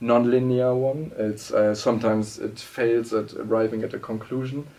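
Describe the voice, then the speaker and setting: Speaking at a moderate pace with a German accent, a man uses a dark, mellow tone at medium pitch and fairly even intonation. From Germany. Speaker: political scientist and writer. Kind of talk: interview. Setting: studio. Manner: halting, many fillers and restarts.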